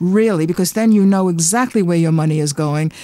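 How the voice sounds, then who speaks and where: This woman has a medium-pitched voice with a dark, mellow tone. She talks at a fairly quick pace with lively intonation. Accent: American. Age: 70s. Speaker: artist and former cookbook author. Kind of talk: radio interview. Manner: animated.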